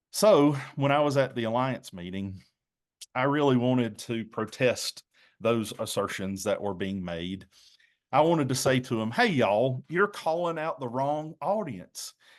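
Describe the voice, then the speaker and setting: A man speaks at a medium pitch with a slight Southern US accent. His pitch swings very widely against a quiet background. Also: fairly slow pace. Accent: mild Southern US. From North Carolina. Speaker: pastor. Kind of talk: presentation.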